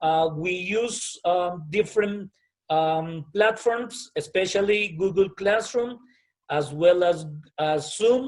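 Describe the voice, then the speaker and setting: A man with a high pitch speaks at a very slow pace with ordinary pitch variation. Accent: Colombian. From Colombia. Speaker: private school principal. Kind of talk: interview answer.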